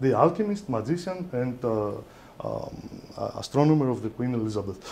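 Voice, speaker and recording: The speaker is a man with lively intonation. He keeps a fairly slow pace. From Greece. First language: Greek. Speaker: lecturer on esoteric philosophy. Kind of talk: lecture. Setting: lecture hall with audience. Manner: halting, hesitant. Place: hall.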